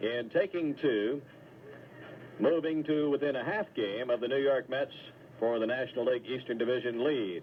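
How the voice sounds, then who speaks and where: Here a man uses an ordinary speaking voice, talking at a moderate pace and medium pitch with ordinary pitch variation. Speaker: radio baseball play-by-play announcer. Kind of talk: live baseball play-by-play.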